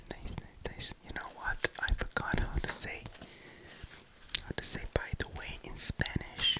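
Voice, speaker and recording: Whispering from a man at a fairly slow pace. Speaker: ASMR creator. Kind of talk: ASMR whispering to camera. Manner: whispered. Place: home room. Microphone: studio mic.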